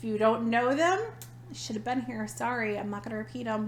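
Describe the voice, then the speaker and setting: A woman with an American accent, audible room echo around her voice. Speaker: podcast co-host. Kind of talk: casual chat. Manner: animated.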